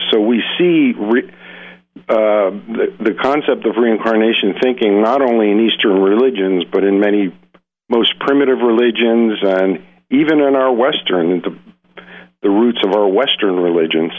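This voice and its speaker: A man with a plain, everyday voice of medium pitch talks at a moderate pace, with ordinary pitch variation and very even loudness. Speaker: psychologist and hypnotherapist. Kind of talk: interview. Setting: phone call.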